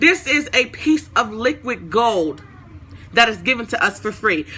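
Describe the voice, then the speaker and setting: A woman with a fairly high pitch talks at a moderate pace in a bright, sharp, animated tone marked by vocal fry. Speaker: online Bible teacher. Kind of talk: livestream Bible talk.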